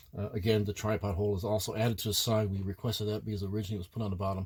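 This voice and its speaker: Talking at a very fast pace, a man uses a fairly low pitch. His voice is somewhat breathy. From Ireland. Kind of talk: casual product review to camera.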